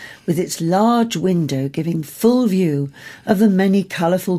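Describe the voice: Reading aloud, plainly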